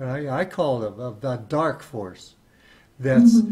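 A man speaks at a fairly slow pace in a fairly high pitch. His tone is dark and mellow and somewhat breathy. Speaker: podcast host. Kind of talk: interview. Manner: halting.

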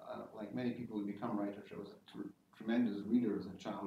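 A man speaks with monotone, flat intonation. Audible room echo and light background noise fill the recording. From Scotland, Isle of Lewis and Greenock; Scotland. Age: 60s. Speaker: science-fiction novelist; guest. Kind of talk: informal talk to an audience. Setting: lecture hall with audience. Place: classroom. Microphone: camera far.

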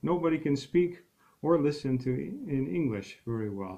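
Against a quiet background, a man speaks with an American accent. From United States. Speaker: English teacher. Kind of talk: self-introduction to camera. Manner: hesitant, many filler words. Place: home room. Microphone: webcam.

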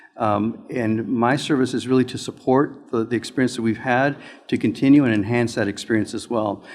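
On a very clean recording with a silent background, the speaker uses a Spanish accent, a fairly quick pace and fairly even intonation. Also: man, medium pitch for a man. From Mexican background. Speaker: school board applicant. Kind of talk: interview. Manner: halting.

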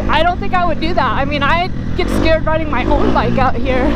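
Speech moves at a fairly quick pace in a dry sound with no echo. Loud background noise is present. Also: woman. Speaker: motovlogger. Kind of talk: casual vlog chat. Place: motorbike. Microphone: helmet.

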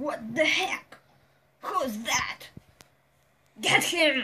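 A high-pitched put-on character voice shouts. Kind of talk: comic overacting. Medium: comedy sketch. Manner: menacing, shouting.

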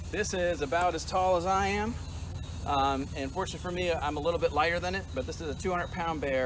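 A man's fairly quick speech amid noticeable background noise. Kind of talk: educational presentation. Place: forest.

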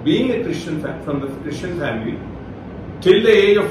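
A man talks over noticeable background noise, and room echo is audible. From India, Rajasthan. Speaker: retired forest service officer and Bible teacher. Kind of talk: online Bible talk. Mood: calm, smiling. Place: home room.

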